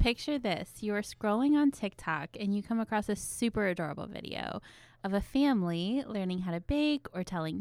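At a moderate pace, a woman speaks in an ordinary speaking voice of medium pitch with lively intonation. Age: 30s. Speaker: therapist and podcast co-host. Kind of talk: casual chat. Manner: scripted intro reading.

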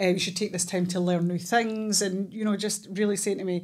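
A speaker with a Scottish accent talks in a flat monotone. The recording is very clean, with a silent background. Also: woman. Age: 40s. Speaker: therapist and police officer. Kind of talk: casual chat.

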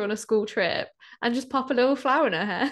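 The voice carries a British accent. The background is quiet. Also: woman. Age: 20s. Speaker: podcast co-host. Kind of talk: casual chat.

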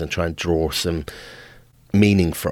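Speaking at a fairly quick pace with a British accent, a man keeps his intonation fairly even in a dry, close recording with no echo. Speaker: podcast host. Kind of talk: monologue. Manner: halting.

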